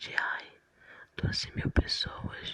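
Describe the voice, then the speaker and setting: A whisper moves at a very slow pace beneath noticeable background noise. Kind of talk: ASMR Bible reading. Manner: soft-spoken, whispered.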